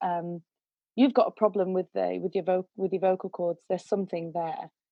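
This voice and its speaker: A woman with a British accent. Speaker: singer and vocal coach. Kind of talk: interview storytelling. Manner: animated.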